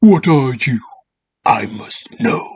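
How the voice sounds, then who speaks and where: Pitched fairly high, a man's raspy voice plays an obviously put-on character. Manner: screaming, desperate.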